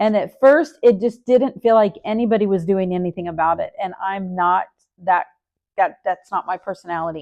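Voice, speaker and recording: With a normal speaking voice, a woman talks at a medium pitch and moderate pace, her pitch varying in an ordinary way, in a dry, close sound with no echo. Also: quiet background. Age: 60s. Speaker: nurse and vlogger. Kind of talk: casual vlog update.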